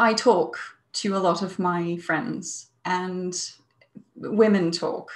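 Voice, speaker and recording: Against a quiet background, a woman speaks at a very slow pace in a somewhat breathy voice. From Denmark. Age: 30s. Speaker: psychologist; webinar presenter. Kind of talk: webinar talk. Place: home room. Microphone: earbuds.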